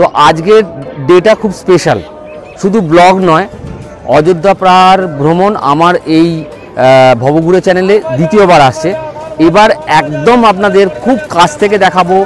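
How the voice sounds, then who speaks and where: Over clear music in the background, a man with a high pitch and ordinary pitch variation speaks in a dry sound with no echo. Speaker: travel vlogger. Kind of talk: casual vlog chat. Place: street. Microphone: lapel.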